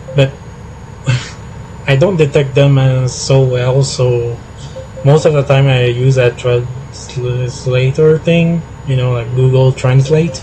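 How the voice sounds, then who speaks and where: Over noticeable background noise, a man with a Quebec accent speaks very slowly in a flat monotone, with long, frequent pauses. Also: medium pitch for a man. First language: French. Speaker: gaming streamer. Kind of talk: casual live stream chat. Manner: halting, many fillers.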